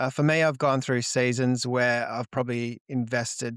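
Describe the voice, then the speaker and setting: In an Australian accent, a man speaks at a moderate pace with a medium pitch and fairly even intonation, on a very clean recording with a silent background and a dry, close sound with no echo. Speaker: marketing business owner. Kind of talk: podcast interview. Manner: halting, many fillers and repeated words.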